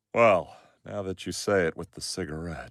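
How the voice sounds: In a very clean recording with a silent background and a dry, close sound with no echo, a man does a cartoonish character voice at a very deep, low pitch and a moderate pace.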